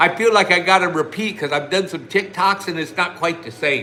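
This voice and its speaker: Fairly quick speech in an American accent over noticeable background noise. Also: man. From US Midwest, Ohio (Lima). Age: 60s. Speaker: online business promoter. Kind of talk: live stream chat. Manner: casual, long-winded.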